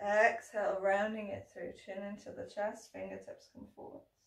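The clip has audible room echo over a quiet background. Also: woman. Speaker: yoga teacher. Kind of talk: guided yoga instruction. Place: home room. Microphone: camera far.

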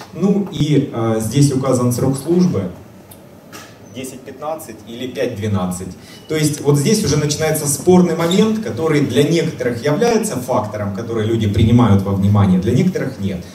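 A man talks at a moderate pace with very wide pitch swings. Light background noise and audible room echo can be heard. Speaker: energy storage engineer; conference presenter. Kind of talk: technical presentation. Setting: conference hall with audience. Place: hall.

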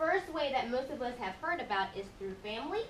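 Over light background noise and audible room echo, a woman speaks at a high pitch. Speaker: immigration lawyer. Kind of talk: public panel presentation. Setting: public forum with live audience. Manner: casual, uses many fillers. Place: meeting room. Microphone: camera far.

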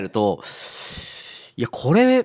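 Over a quiet background, the speaker moves at a fairly slow pace with very wide pitch swings. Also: man. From Japan, Kagawa Prefecture; Japan. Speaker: company CEO; guest. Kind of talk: radio interview. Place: studio. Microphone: studio mic.

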